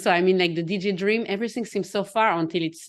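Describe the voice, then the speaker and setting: A woman's fairly low voice at a fairly quick pace, with ordinary pitch variation over a quiet background. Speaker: confidence coach. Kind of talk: casual chat. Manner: fast.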